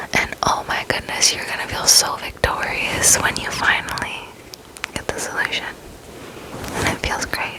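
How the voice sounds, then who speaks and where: A woman whispering in an American accent, with long, frequent pauses and noticeable background noise. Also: moderate pace. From Arizona. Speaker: ASMR creator. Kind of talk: ASMR casual rambling to camera. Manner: whispered.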